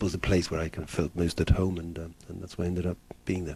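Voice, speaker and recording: Somewhat breathy, this man's voice sits at a very deep, low pitch with a dark, mellow tone. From Poland, Warsaw; moved to England at fifteen. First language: Polish. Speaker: film director. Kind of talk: interview. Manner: hesitant, many fillers.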